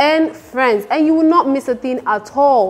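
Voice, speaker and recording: A woman at a moderate pace and high pitch, with faint music in the background. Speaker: TV show host. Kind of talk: presenter announcement. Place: studio.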